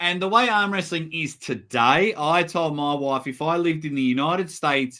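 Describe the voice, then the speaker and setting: A man with an Australian accent speaks at a moderate pace in a bright, sharp tone, his pitch varying in an ordinary way. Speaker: arm wrestling commentator. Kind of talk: casual chat. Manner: animated.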